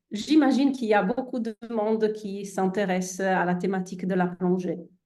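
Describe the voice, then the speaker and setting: With an Italian accent, a woman speaks very slowly at medium pitch in a dark, mellow tone. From Italy. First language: Italian (speaking French). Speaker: endocrinologist. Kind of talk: presentation to online audience. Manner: hesitant, many fillers.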